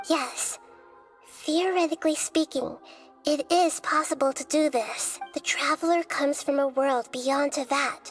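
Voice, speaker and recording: A woman speaks at a moderate pace in a high-pitched, put-on character voice, with clear music playing in the background. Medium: machinima. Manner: calm, thoughtful, measured.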